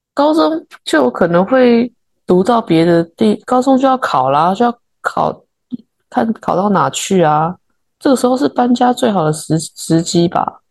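Woman with a Taiwanese accent, medium in pitch, very wide pitch swings, very even loudness, and a fairly slow pace. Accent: Taiwanese Mandarin. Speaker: podcast co-host, interior designer. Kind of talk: casual chat.

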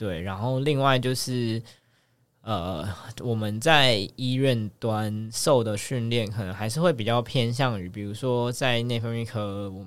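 Audible room echo surrounds a man speaking at a medium pitch. He goes at a fairly slow pace with ordinary pitch variation. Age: 30s. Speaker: medical resident. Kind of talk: casual chat.

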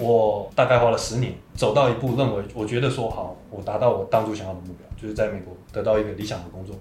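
A man's fairly low voice at a very fast pace with hardly any pauses, big swings in loudness and fairly even intonation. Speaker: podcast host sharing life story. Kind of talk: interview testimony.

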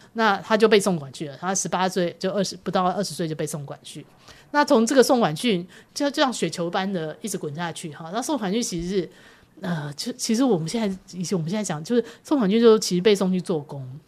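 A woman has an ordinary speaking voice at a medium pitch and a fairly quick pace. Her intonation is lively, and her loudness swings widely. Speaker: publishing editor-in-chief. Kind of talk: interview. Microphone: poor sound quality in second half due to equipment.

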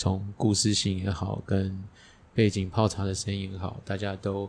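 A man speaks at a moderate pace with a fairly low pitch. His voice sounds somewhat breathy. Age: middle-aged. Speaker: podcast host. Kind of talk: casual chat. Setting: teahouse.

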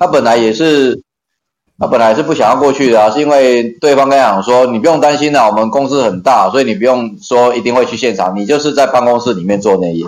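This man speaks at a very fast pace with a medium pitch. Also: ordinary pitch variation. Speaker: occupational safety trainer. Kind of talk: casual interview.

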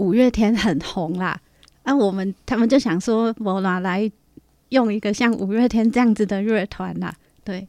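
A woman's medium-pitched voice with a dark, mellow tone, ordinary pitch variation and a moderate pace, set against a quiet background. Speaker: band member and podcast co-host. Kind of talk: casual chat. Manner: animated.

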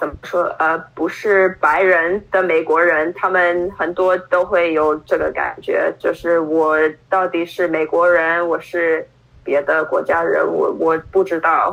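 The speaker talks very slowly in an English accent. The intonation is monotone and flat, with very even loudness. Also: woman, fairly low pitch for a woman. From Brooklyn, New York, US. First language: English (speaking Chinese). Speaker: Chinese learner, adoptee. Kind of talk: interview. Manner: halting, many fillers.

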